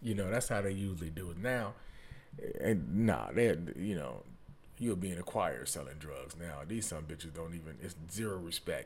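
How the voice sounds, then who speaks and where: In an American accent, a man with a very deep, low pitch and vocal fry uses lively intonation, with audible room echo around him. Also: moderate pace. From Detroit, east side. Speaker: podcaster. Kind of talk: storytelling monologue. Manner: animated.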